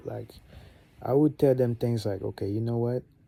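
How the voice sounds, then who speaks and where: His tone comes across dark and mellow. The man's pitch is medium. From Gabon. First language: French. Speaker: vlogger. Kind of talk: casual monologue.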